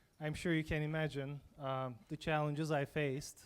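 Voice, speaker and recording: With a non-native accent, a man speaks at a moderate pace and a fairly high pitch in monotone, flat intonation. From abroad. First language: not English. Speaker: entrepreneur. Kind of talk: panel talk.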